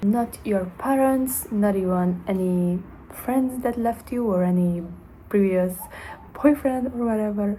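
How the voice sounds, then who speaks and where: A woman talks at a fairly slow pace. Her pitch is medium, with ordinary variation. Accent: Hungarian. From Hungary. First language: Hungarian. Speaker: self-development vlogger. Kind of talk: motivational monologue to camera. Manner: halting, with fillers.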